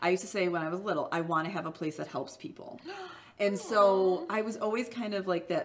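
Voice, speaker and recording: With a Midwestern accent, the speaker moves at a fairly quick pace with ordinary pitch variation over noticeable background noise. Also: woman, medium pitch for a woman. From US Midwest. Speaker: small business owner, former boxer. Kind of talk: interview answer.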